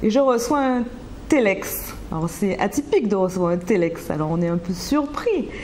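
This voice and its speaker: This woman's pitch swings very widely, while noticeable background noise sits underneath. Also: medium pitch for a woman, moderate pace. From Martinique, Rivière-Pilote. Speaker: business manager. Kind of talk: interview. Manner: halting, many hesitations.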